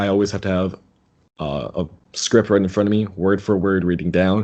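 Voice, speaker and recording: Speaking with an American accent, a man uses a fairly low pitch, a dark, mellow tone and fairly even intonation. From Texas. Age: 20s. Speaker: YouTube creator and engineering student. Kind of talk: interview. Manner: halting.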